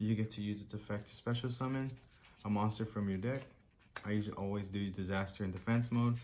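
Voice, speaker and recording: A man with a fairly low pitch rushes along at a very fast pace in a monotone, flat intonation. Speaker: card game YouTuber. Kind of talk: tutorial. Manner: many filler ums.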